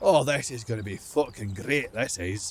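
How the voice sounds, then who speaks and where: Using a put-on, growling character voice at a medium pitch, a man speaks at a moderate pace with lively intonation and big swings in loudness. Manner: growling, grumpy.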